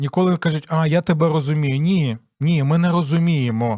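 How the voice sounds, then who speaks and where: A plain, everyday voice talks at a moderate pace with ordinary pitch variation, the sound dry and close with no echo in a very clean recording with a silent background. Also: man. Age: 40s. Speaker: pastor and radio host. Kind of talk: radio Bible teaching program.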